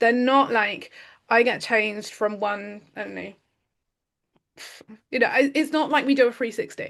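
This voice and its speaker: A woman speaks loudly in a British accent, her pitch fairly high and her pitch variation ordinary. She keeps a moderate pace with long, frequent pauses against a quiet background. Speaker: podcast host. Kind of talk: casual chat. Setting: recorded conversation with her coach. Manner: animated.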